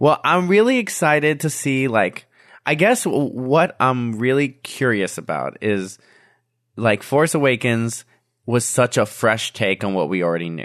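A man's medium-pitched voice at a fairly slow pace, with very wide swings in pitch. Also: quiet background. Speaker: band musician and student. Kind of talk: casual chat.

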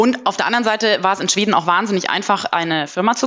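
Amid noticeable background noise, a woman talks at a medium pitch. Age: 30s. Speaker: management consultant. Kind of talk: interview.

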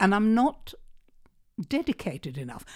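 At a fairly quick pace, a woman with a dark, mellow tone speaks with very wide pitch swings. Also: very clean recording, silent background. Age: 70s. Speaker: author. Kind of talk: interview. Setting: studio.

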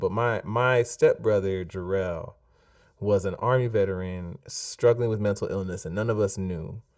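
A man talks in a plain, everyday voice at a fairly quick pace with a fairly low pitch. His pitch variation is ordinary, and the recording is very clean with a silent background. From US, Jamaican immigrant family. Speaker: author and singer-songwriter. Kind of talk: casual interview chat.

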